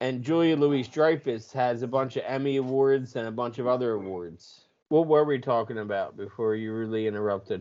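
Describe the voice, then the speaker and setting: In an unremarkable speaking voice, a man talks at medium pitch with ordinary pitch variation and hardly any pauses. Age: 30s. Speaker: podcast co-host. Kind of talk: casual chat.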